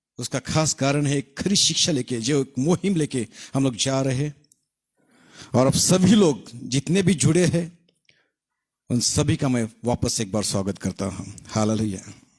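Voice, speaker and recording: With a Marathi accent, a man's somewhat breathy voice sits at a fairly high pitch and swings very widely in pitch. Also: dry, close sound with no echo. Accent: Marathi-accented Hindi. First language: Marathi (speaking Hindi). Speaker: pastor. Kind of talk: sermon. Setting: online live broadcast. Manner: halting.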